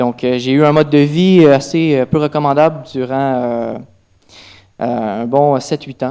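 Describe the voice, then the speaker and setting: Speaking fairly slowly with a Quebec accent, a man has a fairly high pitch, a dark, mellow tone and fairly even intonation. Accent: Québécois French. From Quebec, Trois-Rivières. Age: 20s. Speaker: church testimony speaker. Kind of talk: testimony. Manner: halting, many fillers.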